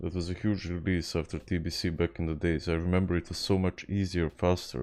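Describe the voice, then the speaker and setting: Against a quiet background, a man with a Serbian accent speaks at a moderate pace in a very deep, low pitch with a dark, mellow tone and monotone, flat intonation. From Serbia, Belgrade. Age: 20s. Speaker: video game streamer. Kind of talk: casual gaming livestream chat. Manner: halting, frequent repetitions.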